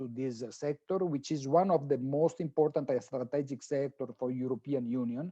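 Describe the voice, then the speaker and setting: A dark, mellow tone at a moderate pace, with fairly even intonation and a quiet background. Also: man. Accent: Italian. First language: Italian. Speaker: professor, sustainable finance expert. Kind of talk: conference talk. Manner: halting.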